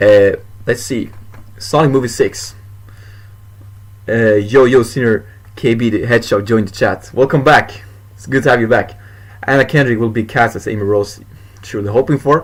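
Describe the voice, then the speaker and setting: Medium-pitched male speech at a fairly quick pace, with noticeable background noise. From Sweden. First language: Swedish. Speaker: YouTuber, movie news streamer. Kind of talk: casual livestream chat. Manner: fast; animated.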